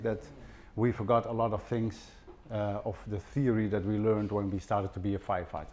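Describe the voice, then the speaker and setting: Talking in a Dutch accent, the man keeps a moderate pace. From Netherlands. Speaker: fire safety professor, former fire officer. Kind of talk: conference presentation. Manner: halting, with fillers and repetitions.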